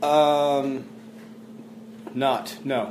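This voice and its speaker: A fairly high-pitched man with a Texas accent, music in the background. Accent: Texas drawl. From Texas, Fort Worth. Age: 30s. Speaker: country singer-songwriter. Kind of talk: interview. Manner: halting.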